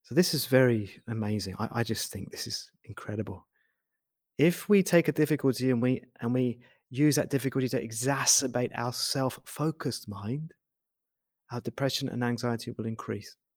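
The recording is very clean with a silent background, and a man speaks in an unremarkable voice at a moderate pace with ordinary pitch variation. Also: medium pitch for a man. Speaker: meditation teacher. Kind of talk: guided meditation; talk on meditation. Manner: soft-spoken.

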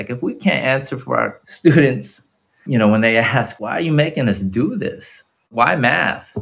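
This man talks at a fairly slow pace and medium pitch, with lively intonation and vocal fry. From Los Angeles, California. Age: 40s. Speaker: teacher. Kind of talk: casual chat.

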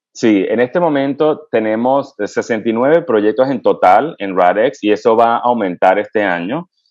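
A man at a medium pitch speaks with lively intonation and hardly any pauses. The background is quiet. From Venezuela. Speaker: pediatric infectious disease physician and researcher. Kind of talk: interview. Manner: halting, with frequent fillers.

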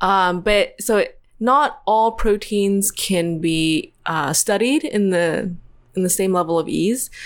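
A woman's medium-pitched voice at a very slow pace, with lively intonation, very even loudness, and a very clean recording with a silent background. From US South, Tennessee. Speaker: PhD student in computational chemistry. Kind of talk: podcast interview.

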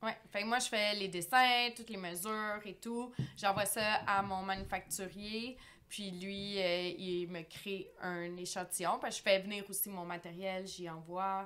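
The speaker talks at a very slow pace with fairly even intonation, a bright, sharp tone and big swings in loudness. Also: woman, medium pitch for a woman. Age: 30s. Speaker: fashion entrepreneur. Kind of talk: casual chat.

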